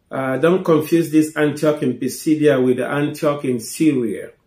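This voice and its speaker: A man's voice with ordinary pitch variation, audible room echo and a quiet background. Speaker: preacher, Bible teacher. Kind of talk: Bible teaching talk. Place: home room.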